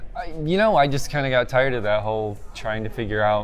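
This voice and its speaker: A man speaks rather quickly while light noise sits in the background. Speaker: SEO software researcher. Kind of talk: interview answer. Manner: low energy, monotone. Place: hall. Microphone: phone near.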